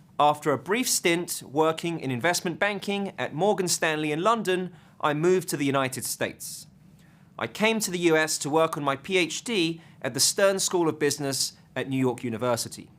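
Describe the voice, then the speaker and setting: This is a man with an English accent. His pitch is fairly high. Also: ordinary pitch variation, moderate pace. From southeast England. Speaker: finance professor. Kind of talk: lecture.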